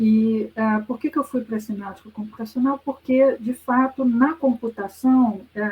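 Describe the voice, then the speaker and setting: A woman at a fairly slow pace with fairly even intonation, over noticeable background noise. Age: 60s. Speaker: professor. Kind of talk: lecture. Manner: conversational with hesitations.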